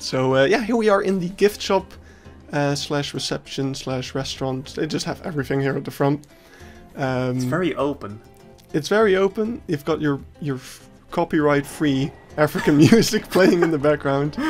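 Moderate-paced speech over music in the background. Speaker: zoo visitor vlogger. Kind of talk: casual vlog commentary. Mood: cheerful, laughing often. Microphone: phone near.

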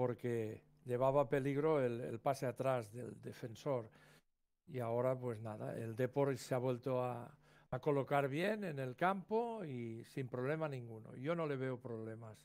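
A man with an unremarkable speaking voice, medium pitch, ordinary pitch variation and a fairly slow pace. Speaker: football analyst, former coach. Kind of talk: co-commentary analysis. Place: home room.

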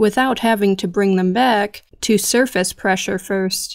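A woman with an unremarkable speaking voice speaks at a medium pitch with ordinary pitch variation. The recording is very clean, with a silent background. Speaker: podcast narrator. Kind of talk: true-crime documentary narration. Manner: grave, measured and somber; steady, deliberate, matter-of-fact.

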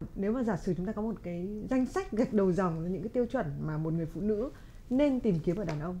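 Over light background noise, a woman with a dark, mellow, somewhat breathy tone talks at a fairly quick pace with lively intonation. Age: 30s. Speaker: talk show host. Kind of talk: casual chat; conversational interview talk. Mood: calm, engaged. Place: studio.

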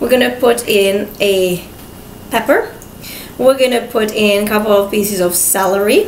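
In a room with audible echo, a woman of medium pitch talks at a fairly slow pace with fairly even intonation.

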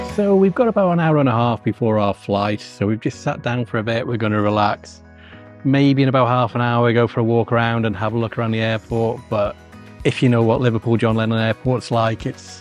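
Speaking at a fairly quick pace with ordinary pitch variation, a man comes through in a dry sound with no echo while faint music plays in the background. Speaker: travel vlogger. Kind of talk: casual vlog chat. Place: hall. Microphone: phone near.

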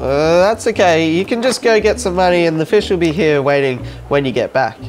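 Faint music plays in the background. The speech moves at a moderate pace. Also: man. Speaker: comedy creator playing roles. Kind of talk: comedy sketch dialogue. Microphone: lapel.

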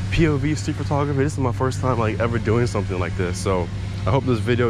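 A man's voice with ordinary pitch variation, dry with no echo, over music in the background. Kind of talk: casual vlog chat. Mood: relaxed, self-conscious, laughing. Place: street. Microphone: phone near.

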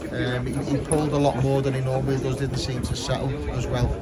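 Music sits in the background of this moderately paced speech. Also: man. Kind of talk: casual vlog update. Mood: mildly disappointed, upbeat. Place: stadium. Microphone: phone near.

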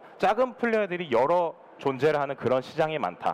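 A man's high voice with very wide pitch swings. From South Korea. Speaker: startup consultant and former venture capitalist. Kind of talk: conference talk. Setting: conference stage. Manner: formal. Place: studio.

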